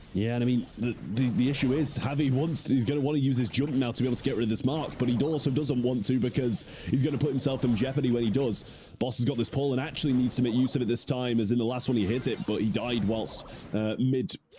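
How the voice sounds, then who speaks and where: A man with a British accent talks at a very fast pace, with hardly any pauses and very even loudness. His tone is animated over noticeable background noise. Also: medium pitch for a man. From Britain. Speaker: esports caster. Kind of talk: live commentary.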